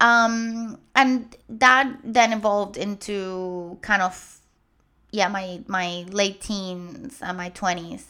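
Speaking at a very slow pace with a Spanish accent, a woman has a bright, sharp tone at medium pitch, captured in a very clean recording with a silent background. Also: ordinary pitch variation. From Puerto Rico. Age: 30s. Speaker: guest host, lymphedema patient and podcaster. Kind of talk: personal testimony.

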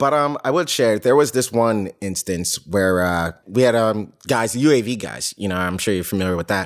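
An ordinary speaking voice from a man at fairly low pitch, with an American accent, at a moderate pace and with hardly any pauses. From New York / New Jersey area. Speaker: war veteran. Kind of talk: casual chat.

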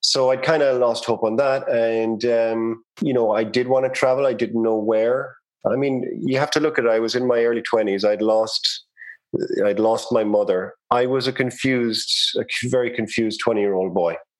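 In an Irish accent, a man talks at medium pitch with fairly even intonation and very even loudness. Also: moderate pace. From Ireland, Cork City. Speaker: realtor and real estate investor. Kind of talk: interview conversation.

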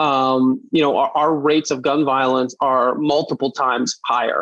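In a New York accent, the speaker keeps a fairly even intonation, recorded with a dry, close sound and no echo. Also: man. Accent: New York American. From US, Brooklyn, New York. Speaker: gun safety lawyer and advocate. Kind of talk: interview.

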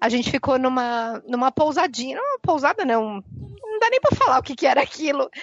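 A woman talks at a moderate pace, her pitch high. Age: 30s. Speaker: veterinarian, podcast listener guest. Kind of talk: casual chat.

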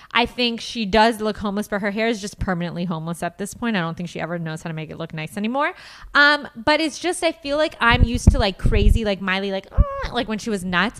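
Against noticeable background noise, a woman talks at a very fast pace with lively intonation and big swings in loudness. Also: medium pitch for a woman, hardly any pauses. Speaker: podcast co-host. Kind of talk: casual banter. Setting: live webcast.

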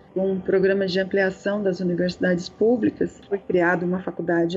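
A woman speaks at a moderate pace in a medium pitch, her intonation fairly even, with music playing in the background. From Brazil, Dourados, Mato Grosso do Sul. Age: 40s. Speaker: university professor and activist. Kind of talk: casual chat.

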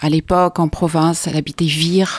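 The woman's voice sits very deep and low, with fairly even intonation. The sound is dry and close, with no echo. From France, from age 7 (born in Belgium). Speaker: concert pianist and piano teacher. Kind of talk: casual chat.

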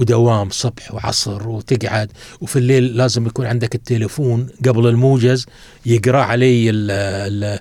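This man has a dark, mellow tone at a medium pitch. His intonation stays fairly even and his pace is fairly slow. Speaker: writer and academic. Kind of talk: casual interview. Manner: reflective storytelling.

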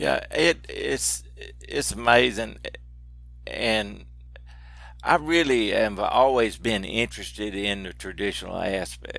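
A man talks with a strong Southern US accent. He goes at a very slow pace with long, frequent pauses. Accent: strong regional Southern US. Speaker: outdoors TV personality. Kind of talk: casual interview conversation.

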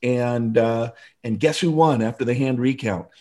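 In an American accent, a man speaks at a medium pitch with a dark, mellow tone and fairly even intonation on a very clean recording with a silent background. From US Pacific Northwest, Seattle area. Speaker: motivational speaker and author. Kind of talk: interview.

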